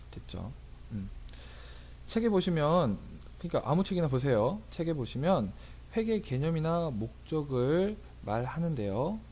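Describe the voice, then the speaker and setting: Audible room echo surrounds a man with a fairly high pitch and a dark, mellow tone. He speaks fairly slowly, with very wide pitch swings and long, frequent pauses. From rural Korea. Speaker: tax accountant and lecturer. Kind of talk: lecture. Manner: casual, with fillers.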